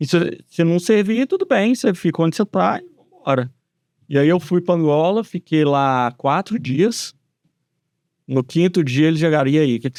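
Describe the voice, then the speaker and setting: A man with a Minas Gerais accent and a fairly high pitch at a moderate pace, with very wide pitch swings and long, frequent pauses, against a quiet background in a dry, close sound with no echo. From Brazil, Belo Horizonte (Minas Gerais) from age ten. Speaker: civil engineer. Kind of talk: podcast interview.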